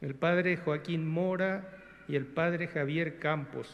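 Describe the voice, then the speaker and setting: A man with a Paraguayan accent speaks at a fairly slow pace. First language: Guarani (speaking Spanish). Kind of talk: formal speech. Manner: formal.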